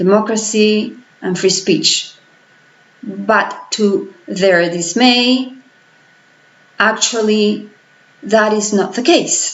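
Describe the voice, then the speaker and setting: A woman with a Spanish accent speaks at a fairly high pitch with ordinary pitch variation. Her pace is very slow, with long, frequent pauses and audible room echo. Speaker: political vlogger. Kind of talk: vlog commentary. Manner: halting.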